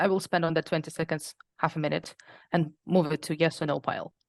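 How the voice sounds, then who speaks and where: A woman with a non-native accent speaks at a moderate pace in a very deep, low pitch with vocal fry and monotone, flat intonation. The sound is dry and close with no echo, against a quiet background. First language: not English. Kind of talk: interview.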